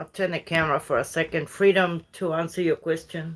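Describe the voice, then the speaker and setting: A woman's fairly low voice moves along at a moderate pace. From Uruguay. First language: Spanish. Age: 50s. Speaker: livestreamer. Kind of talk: casual chat. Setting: livestream from bed.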